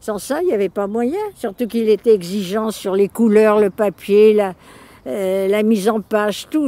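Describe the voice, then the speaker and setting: The speech comes at a fairly slow pace with ordinary pitch variation, in a dry, close sound with no echo but noticeable background noise. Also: woman. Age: 90s. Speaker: illustrator and artist. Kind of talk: interview. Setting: outdoors. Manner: colloquial, lively.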